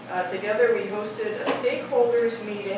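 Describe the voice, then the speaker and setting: Audible room echo and noticeable background noise accompany a woman's speech. She keeps a moderate pace with ordinary pitch variation. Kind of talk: presentation to board. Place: meeting room. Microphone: camera far.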